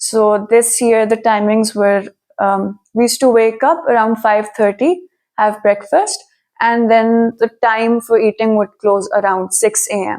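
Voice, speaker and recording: A woman with a Pakistani accent speaks at a fairly slow pace. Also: fairly high pitch for a woman, ordinary pitch variation. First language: Urdu. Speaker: immigrant student interviewee. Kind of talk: interview.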